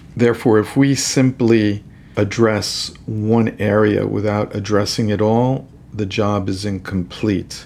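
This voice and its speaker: Here is a man with an ordinary speaking voice and an American accent. His pitch is fairly low, his pace fairly slow and his intonation fairly even. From New York City. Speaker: rheumatologist. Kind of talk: interview.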